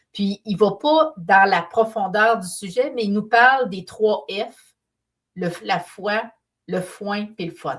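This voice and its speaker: A woman with a Quebec accent talks at a very slow pace and a medium pitch. Her pitch varies in an ordinary way while her loudness swings widely. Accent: Québécois French. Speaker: painter and business mentor. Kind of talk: live stream talk.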